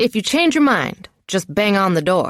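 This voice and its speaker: In a put-on character voice, the speaker growls at a middle pitch and a moderate pace. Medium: read story. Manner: good-natured, teasing.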